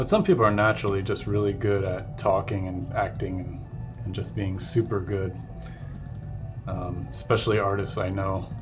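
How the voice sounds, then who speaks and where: Music plays in the background as a man talks at a moderate pace with a fairly low pitch and ordinary pitch variation, with audible room echo. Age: 30s. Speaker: digital artist. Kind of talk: live stream tutorial chat. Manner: halting.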